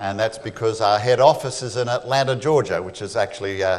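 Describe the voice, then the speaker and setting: Speaking with an Australian accent, a man uses ordinary pitch variation. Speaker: creation ministry speaker; speaker. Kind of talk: church talk. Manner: fast. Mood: humorous, engaging. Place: church.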